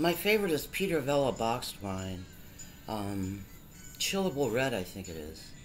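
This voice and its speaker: With music in the background and audible room echo, a woman speaks at a moderate pace with a very deep, low pitch, very wide pitch swings and big swings in loudness. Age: 60s. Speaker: vlogger. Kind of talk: casual monologue. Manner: rambling, halting.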